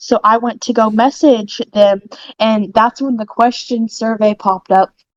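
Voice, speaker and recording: A woman with an American accent speaks at a fairly slow pace and a fairly high pitch. Her intonation is fairly even, and the sound is dry and close with no echo. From Oklahoma. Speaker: podcast co-host. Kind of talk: casual chat.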